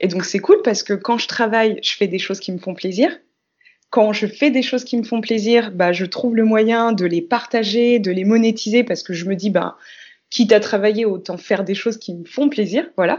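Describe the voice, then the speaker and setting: A woman's fairly high-pitched, normal speaking voice at a moderate pace, with ordinary pitch variation. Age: 30s. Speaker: dancer and multidisciplinary artist. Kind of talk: casual interview.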